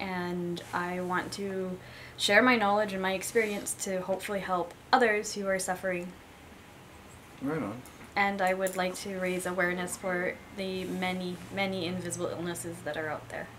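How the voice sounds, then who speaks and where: A woman's voice at a moderate pace with fairly even intonation, over light background noise. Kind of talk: personal vlog testimony. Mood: candid, sometimes wry laughter. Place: home room.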